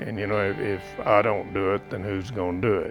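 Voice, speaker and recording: A man speaks with music in the background. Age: 80s+. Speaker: horseman and stockman, retired agriculture professor. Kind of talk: interview answer.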